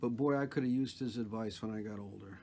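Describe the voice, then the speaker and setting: A man at a fairly quick pace, lively in intonation, over light background noise. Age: 60s. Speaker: retired television producer. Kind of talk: casual talk to camera. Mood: warm, reflective, nostalgic. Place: home room. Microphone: phone near.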